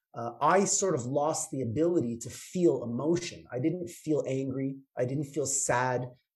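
At a moderate pace and with hardly any pauses, a man with a Canadian accent speaks in a fairly high, somewhat breathy voice with ordinary pitch variation. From Canada, Toronto. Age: 50s. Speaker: chiropractor. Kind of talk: interview.

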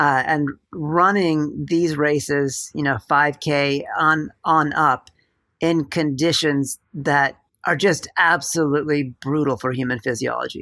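In a very clean recording with a silent background, a man speaks very slowly with a fairly high pitch, a bright, sharp tone and fairly even intonation. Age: 40s. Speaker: runner and running commentator. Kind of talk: casual chat.

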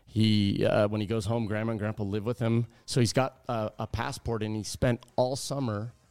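A man with an American accent uses an ordinary speaking voice at medium pitch and a moderate pace. His intonation is fairly even, with hardly any pauses, in a dry, close sound with no echo. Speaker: college volleyball coach. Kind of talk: casual interview.

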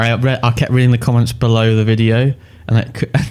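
Speaking at a moderate pace, a man has a medium-pitched voice. His intonation is monotone and flat. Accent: English. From England. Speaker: podcast co-host about games and films. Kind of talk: casual chat.

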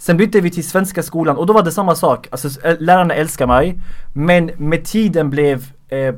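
Here is a man with an ordinary speaking voice. His pitch is fairly high and his pace moderate. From Sweden, Skåne. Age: 20s. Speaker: comedian and social media creator. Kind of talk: casual interview.

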